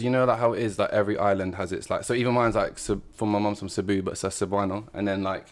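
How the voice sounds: A man talks at a very fast pace with few pauses. His pitch is fairly low and his intonation fairly even.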